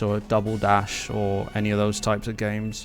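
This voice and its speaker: With music in the background and audible room echo, a man speaks at a moderate pace in a fairly low, monotone, flat voice. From UK. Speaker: gaming streamer. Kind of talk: casual live stream chat. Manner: casual, chatty.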